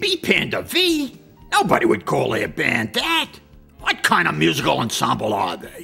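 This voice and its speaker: Faint music sits in the background. A man speaks over it at a moderate pace. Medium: comedy sketch. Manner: cranky, sarcastic, bossy.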